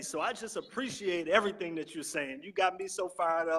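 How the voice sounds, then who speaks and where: A man speaks in a raised, projected voice with a high pitch. His tone is bright and sharp. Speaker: network marketing promoter. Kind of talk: sales pitch. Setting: live stream from a library. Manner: loud.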